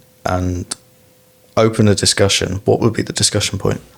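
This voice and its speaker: With an English accent, a man speaks at a fairly quick pace and a fairly low pitch. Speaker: podcast host, bike mechanic. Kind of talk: casual interview.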